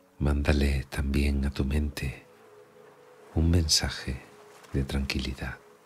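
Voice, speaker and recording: Over noticeable background noise, a man with a very deep, low pitch speaks in a monotone, flat intonation at a very slow pace, with long, frequent pauses. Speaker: meditation guide. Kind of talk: guided sleep meditation. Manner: soft-spoken, slow.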